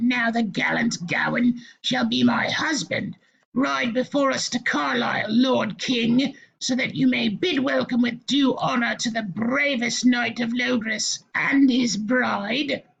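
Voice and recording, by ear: A shrill, put-on character voice at a fairly slow pace. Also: man, extremely high pitch for a man.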